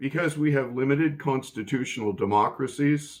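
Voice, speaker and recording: The voice shows ordinary pitch variation against a quiet background. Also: man. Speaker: political commentary vlogger. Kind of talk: political commentary monologue. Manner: slow; precise, deliberate.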